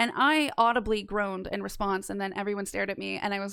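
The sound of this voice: A woman speaks with vocal fry and a fairly bright tone. Her pace is fairly quick.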